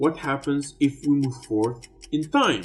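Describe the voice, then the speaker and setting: A man at a fairly slow pace with music in the background. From Tunisia. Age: 30s. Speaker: YouTube commentator. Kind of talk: explainer video.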